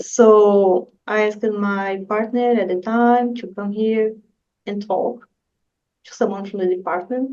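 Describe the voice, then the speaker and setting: Speaking very slowly with a Brazilian accent, a woman has a fairly high pitch, a dark, mellow tone and fairly even intonation. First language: Portuguese. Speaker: graduate student researcher. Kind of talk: interview.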